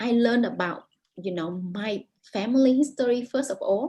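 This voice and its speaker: In a Vietnamese accent, a woman with a high pitch and a dark, mellow tone speaks at a moderate pace with lively intonation. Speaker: author. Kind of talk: interview. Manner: halting, many repetitions.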